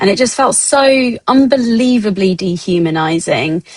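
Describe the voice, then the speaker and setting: A woman with a British accent is heard in a dry, close sound with no echo. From England. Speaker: XR artist and producer. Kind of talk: guest lecture. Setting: online talk. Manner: halting, many fillers.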